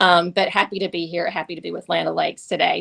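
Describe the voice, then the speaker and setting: A woman talks at a very fast pace with a Southern US accent. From US South, Tifton, Georgia. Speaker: government affairs executive. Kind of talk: webinar presentation. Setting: webinar.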